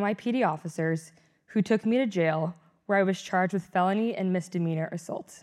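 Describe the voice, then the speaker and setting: Using a normal speaking voice, a woman talks at a fairly quick pace and medium pitch with ordinary pitch variation. The recording is very clean, with a silent background. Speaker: student interviewer. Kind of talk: interview, polished host.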